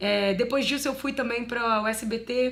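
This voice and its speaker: A woman's unremarkable speaking voice, fairly high in pitch with ordinary variation, at a fairly slow pace. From Minas Gerais, Brazil. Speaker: advertising voice-over artist and former radio journalist. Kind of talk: interview answer about her career. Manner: conversational, reflective.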